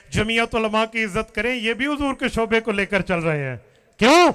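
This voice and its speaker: Raising and projecting his voice, a man speaks at a high pitch with a bright, sharp tone. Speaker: Islamic cleric. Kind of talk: religious rally speech. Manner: impassioned, oratorical.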